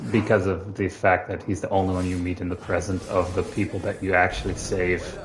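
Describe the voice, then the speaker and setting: A man with a non-native accent speaks at a fairly quick pace. His pitch is fairly low. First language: not English. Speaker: video game streamer. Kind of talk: live gameplay commentary. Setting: live stream. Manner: casual, hesitant with fillers.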